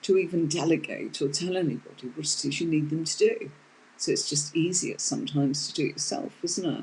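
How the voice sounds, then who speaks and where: A woman's fairly low, somewhat breathy voice with a dark, mellow tone, a British accent and a moderate pace. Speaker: tarot teacher. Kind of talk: live online tarot lesson. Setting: live stream.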